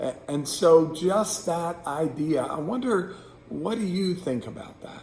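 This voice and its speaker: A man at a very slow pace with lively intonation, audible room echo and noticeable background noise. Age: 60s. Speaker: pastor. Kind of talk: devotional reflection. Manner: casual, hesitant with fillers.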